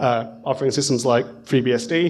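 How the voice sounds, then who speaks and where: A man with a British accent talks at a moderate pace. His pitch is fairly high, with ordinary pitch variation. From UK. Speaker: conference speaker, software professional; conference speaker. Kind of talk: conference talk. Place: hall. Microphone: podium.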